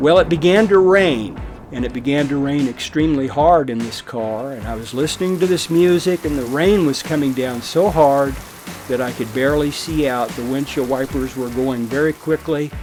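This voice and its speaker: A man's fairly high voice at a moderate pace with ordinary pitch variation, music in the background. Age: 60s. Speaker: pastor. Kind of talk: documentary interview testimony.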